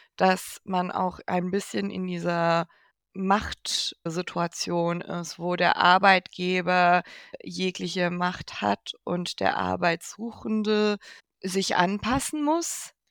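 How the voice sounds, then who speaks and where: On a very clean recording with a silent background and a dry, close sound with no echo, a woman speaks at a very slow pace with a fairly low pitch and ordinary pitch variation. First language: not German (speaking German). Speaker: podcast co-host and producer. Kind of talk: casual chat.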